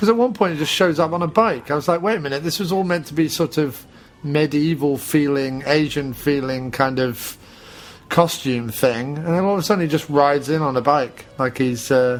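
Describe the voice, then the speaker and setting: At a moderate pace, a man with a British accent speaks at a fairly high pitch with ordinary pitch variation. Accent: British, classically trained actor voice. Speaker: podcast host, film commentator. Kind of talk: casual film commentary chat.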